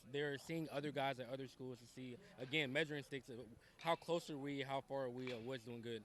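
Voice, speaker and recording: A man at a fairly high pitch, talking at a very fast pace. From Ohio, Dayton area. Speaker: high school baseball coach. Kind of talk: interview.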